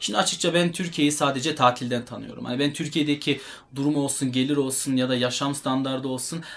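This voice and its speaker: Speaking at a fairly quick pace, a man uses an unremarkable speaking voice with a fairly high pitch and fairly even intonation. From Germany (Turkish heritage). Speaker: fitness YouTuber and bodybuilder. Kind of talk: casual talk to camera.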